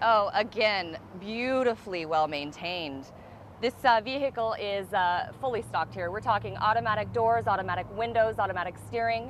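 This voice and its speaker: A woman talks at a moderate pace with ordinary pitch variation. The sound is dry with no echo, over light background noise. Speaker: car salesperson. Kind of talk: sales presentation. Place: street.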